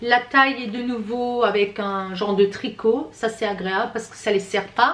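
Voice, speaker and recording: Pitched fairly high, a woman speaks with fairly even intonation and big swings in loudness. Noticeable background noise is present. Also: moderate pace. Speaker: fashion haul youtuber. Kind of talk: product review. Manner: casual. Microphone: far from the camera.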